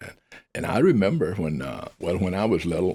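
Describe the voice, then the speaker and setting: In a Mississippi accent, a man speaks at a moderate pace with a very deep, low pitch, captured in a very clean recording with a silent background. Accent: Southern US (Mississippi). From US South, northern Mississippi (Benton County). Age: 80s+. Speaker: air force veteran. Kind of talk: casual interview, personal storytelling. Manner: talkative.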